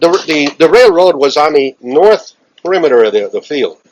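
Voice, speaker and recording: A man with a Chicago accent talks at a moderate pace. His voice sits fairly high and his intonation is lively. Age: 70s. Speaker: aviation veteran. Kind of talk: interview. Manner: halting.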